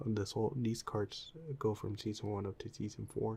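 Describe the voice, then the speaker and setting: A soft-spoken man talks in a relaxed, dark, mellow tone at a medium pitch. His pace is fairly slow, with vocal fry. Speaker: ASMR content creator. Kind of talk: ASMR show and tell, casual talk to camera. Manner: soft-spoken, relaxed.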